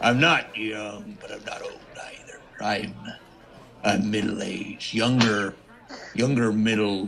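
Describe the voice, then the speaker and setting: Over clear background noise, a man puts on a character voice at medium pitch, talking at a fairly slow pace. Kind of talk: comic pirate talk. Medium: actual play.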